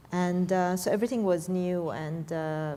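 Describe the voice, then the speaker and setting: A woman speaks with an Iranian accent at a fairly low pitch and moderate pace. Her dark, mellow tone has fairly even intonation, with audible room echo. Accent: Iranian (Persian) accent in English. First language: Persian. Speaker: tech professional. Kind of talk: panel discussion. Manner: hesitant, many fillers.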